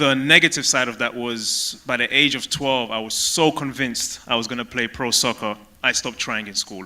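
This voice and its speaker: With a London accent, a man at medium pitch talks with hardly any pauses against noticeable background noise. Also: fairly even intonation, moderate pace. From London, England (Tottenham). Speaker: former pro soccer player. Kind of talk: stage interview.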